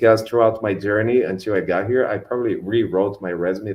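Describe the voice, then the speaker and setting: A man with a Brazilian Portuguese accent and ordinary pitch variation. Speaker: customer engineer at a tech company. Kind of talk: online panel talk. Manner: hesitant, many fillers.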